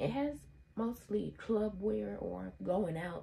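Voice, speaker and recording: There is light background noise. The voice belongs to a woman. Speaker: fashion vlogger. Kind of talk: casual vlog chat. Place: home room. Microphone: phone near.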